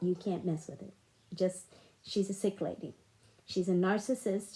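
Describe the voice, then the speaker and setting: Her voice somewhat breathy, a woman speaks at a medium pitch with a dark, mellow tone. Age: 60s. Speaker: family member recording a personal message. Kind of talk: personal video message. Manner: halting.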